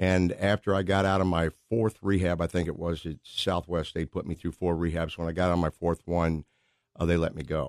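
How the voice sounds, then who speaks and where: A man with an American accent, very deep and low in pitch, at a fairly quick pace, the sound dry and close with no echo over a quiet background. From Missouri, St. Louis area. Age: 60s. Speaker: prison minister, former baseball player. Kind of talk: testimony. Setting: radio studio. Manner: animated.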